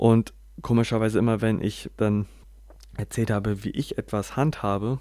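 Over a silent background, the recording is very clean. A medium-pitched man talks at a very slow pace. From northern Germany, Bremen. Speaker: podcaster. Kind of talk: personal monologue. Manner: halting, many filler sounds.

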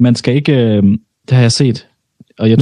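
Somewhat breathy and dark, mellow in tone, a man talks at a fairly quick pace with a medium pitch and ordinary pitch variation. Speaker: podcast co-host. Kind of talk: casual banter, podcast chat.

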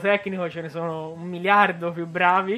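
At a moderate pace, a man with a high-pitched voice speaks in a flat monotone. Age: 20s. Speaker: rock band drummer. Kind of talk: radio interview. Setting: radio studio.

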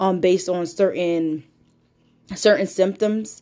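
The recording is very clean, the background silent. A woman talks in a plain, everyday voice with a fairly low pitch. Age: 30s. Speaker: podcast host. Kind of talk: casual monologue. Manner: casual, with frequent fillers.

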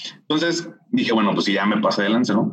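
A plain, everyday voice from a man, with lively intonation at a moderate pace. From Mexico, Monterrey. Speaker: finance specialist and entrepreneur. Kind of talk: interview.

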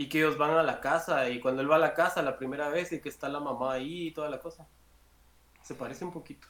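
Talking at a very fast pace, a man with a fairly high pitch keeps his intonation fairly even over noticeable background noise. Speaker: pop culture streamer. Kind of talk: casual chat.

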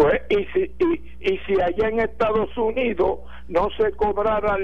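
A man speaks at a very slow pace. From Ponce, Puerto Rico. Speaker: radio caller. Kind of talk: phone-in chat. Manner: halting.

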